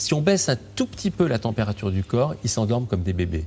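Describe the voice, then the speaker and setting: With a dark, mellow tone and a somewhat breathy sound, a man speaks at a moderate pace through very wide pitch swings. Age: 60s. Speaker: physician and author. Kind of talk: interview.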